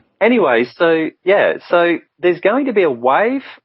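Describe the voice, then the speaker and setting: A man talks at a fairly slow pace with an Australian accent. His pitch makes very wide swings. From Brisbane, Australia. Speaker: spiritual guidance counsellor. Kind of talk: radio interview answer.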